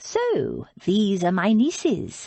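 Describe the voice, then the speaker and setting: Fairly high in pitch, the female-sounding voice is a put-on character voice. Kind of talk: Regency romance audiobook. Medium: read story. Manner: blunt, teasing, commanding.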